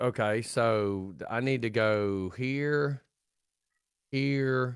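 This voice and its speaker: A man at a very slow pace with a Southern US accent and ordinary pitch variation. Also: medium pitch for a man. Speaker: radio host. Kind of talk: casual chat.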